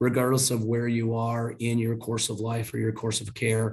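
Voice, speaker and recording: A somewhat breathy man's voice at medium pitch and a fairly quick pace. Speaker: health insurance company representative. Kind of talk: panel presentation.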